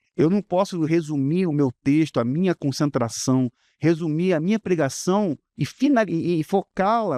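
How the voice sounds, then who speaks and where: A man with a high pitch and a dark, mellow tone speaks fairly slowly with lively intonation, the sound dry and close with no echo against a quiet background. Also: very even loudness. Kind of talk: preacher's tone. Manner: preaching, explaining.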